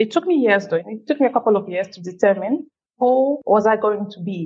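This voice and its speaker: A woman speaks with a Cameroonian accent at a moderate pace. Her fairly high voice carries lively intonation. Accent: Cameroonian francophone English. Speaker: women's fund CEO. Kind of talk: interview. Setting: remote call.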